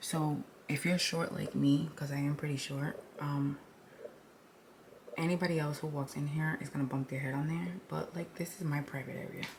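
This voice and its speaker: A woman talks at a moderate pace in a very deep, low pitch with fairly even intonation. Noticeable background noise runs behind her. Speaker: lifestyle vlogger. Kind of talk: casual vlog house tour. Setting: at home. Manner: many filler ums.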